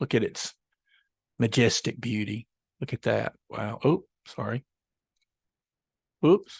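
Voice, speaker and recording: Speaking very slowly with long, frequent pauses, a man shows vocal fry and ordinary pitch variation in a dry, close sound with no echo. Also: medium pitch for a man. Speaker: photography teacher. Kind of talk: tutorial. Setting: recorded online lesson at a computer. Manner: casual, hesitant with many fillers.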